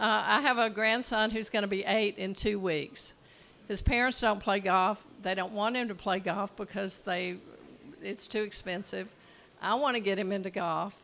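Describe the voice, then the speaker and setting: A woman speaks with a plain, everyday voice at a medium pitch. Her pace is fairly slow and her intonation fairly even. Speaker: audience member. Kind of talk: audience question. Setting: outdoor porch with live audience.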